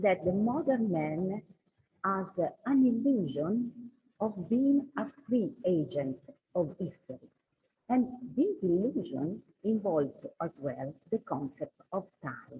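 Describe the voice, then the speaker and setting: Speaking very slowly with a non-native accent, the voice makes very wide pitch swings between long, frequent pauses. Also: woman, medium pitch for a woman. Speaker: scholar. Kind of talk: conference talk read from paper. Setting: conference hall.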